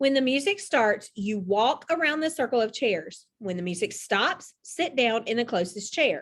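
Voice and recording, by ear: With lively intonation, a natural voice reads aloud over a quiet background.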